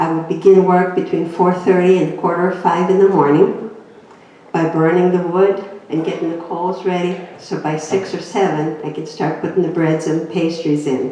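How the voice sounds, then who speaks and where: A woman's fairly low-pitched, monotone voice at a moderate pace, with flat intonation, noticeable background noise and audible room echo. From Greece. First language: Greek. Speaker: inspirational speaker. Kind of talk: personal testimony talk.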